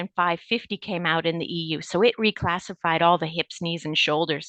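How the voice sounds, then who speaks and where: A woman's normal speaking voice, fairly low, with a Canadian accent at a moderate pace. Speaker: medical device regulatory executive. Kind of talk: podcast interview.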